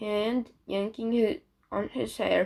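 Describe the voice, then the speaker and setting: Medium pitch and fairly even intonation from a woman. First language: not English. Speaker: fanfiction reader. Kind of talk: reading aloud. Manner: halting, frequent self-corrections.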